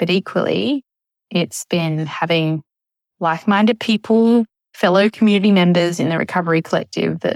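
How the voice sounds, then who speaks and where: An ordinary speaking voice belongs to this woman, fairly low in pitch. She talks at a moderate pace with ordinary pitch variation. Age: 40s. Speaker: eating disorder recovery community member. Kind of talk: recorded testimony.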